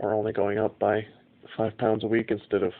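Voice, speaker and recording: A man is speaking. His voice is fairly low, and his pace is moderate. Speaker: amateur powerlifter. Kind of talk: casual video log to camera. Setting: home, tablet recording. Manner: monotone; hesitant, many fillers.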